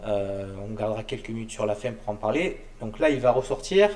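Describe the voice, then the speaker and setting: Over noticeable background noise, a man speaks at a moderate pace and medium pitch with lively intonation. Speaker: show host. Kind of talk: interview. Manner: stammering.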